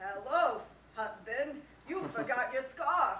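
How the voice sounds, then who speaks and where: A woman uses a put-on character voice, high in pitch. She speaks at a fairly slow pace with a slight echo. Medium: stage play. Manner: sweetly persistent.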